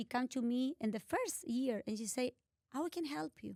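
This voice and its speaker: A woman's high voice with a Spanish accent at a moderate pace, dry and close with no echo. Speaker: art collector and philanthropist. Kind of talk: interview. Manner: halting.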